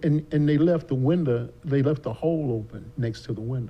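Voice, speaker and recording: A man with an American accent, a dark, mellow tone, a somewhat breathy quality, moderate pace and ordinary pitch variation. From US South. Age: 70s. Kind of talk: casual chat. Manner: talkative.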